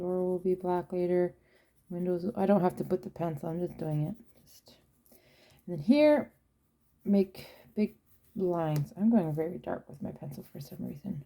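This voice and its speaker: A woman speaks at a moderate pace with a fairly low pitch, a dark, mellow tone, and ordinary pitch variation. Her loudness swings widely, and she takes long, frequent pauses. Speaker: watercolour art tutor. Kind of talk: tutorial. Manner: casual, thinking aloud.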